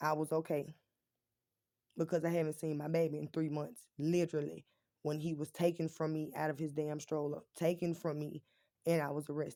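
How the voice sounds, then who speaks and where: A woman speaks at a fairly quick pace in a very deep, low voice with a dark, mellow tone. Her intonation is monotone and flat, and the recording is very clean with a silent background. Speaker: vlogger. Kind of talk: casual vlog storytelling.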